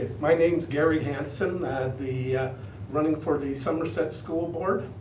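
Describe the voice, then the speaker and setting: Amid noticeable background noise and audible room echo, a man speaks at a moderate pace in a fairly high voice with ordinary pitch variation. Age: 60s. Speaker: school board candidate, retired business owner. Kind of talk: candidate introduction speech. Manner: halting, many filler words.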